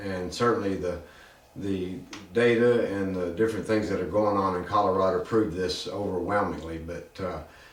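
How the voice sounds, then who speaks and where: A man speaks with a fairly low pitch. His intonation is fairly even, and room echo is audible. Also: moderate pace. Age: 60s. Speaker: podcast host. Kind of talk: opinion commentary.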